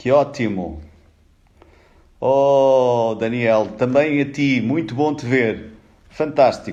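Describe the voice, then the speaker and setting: A man with a European Portuguese accent speaks at a very slow pace in a dark, mellow tone, using ordinary pitch variation and long, frequent pauses. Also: medium pitch for a man. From Portugal. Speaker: HR executive, live-stream speaker. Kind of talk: live stream greeting viewers. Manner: animated.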